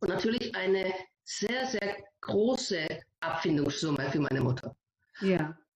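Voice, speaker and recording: Her pitch sits in the middle for a woman, yet it makes very wide swings. She talks at a fairly slow pace with long, frequent pauses. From Germany, Greek family. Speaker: lawyer. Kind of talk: interview. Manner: halting.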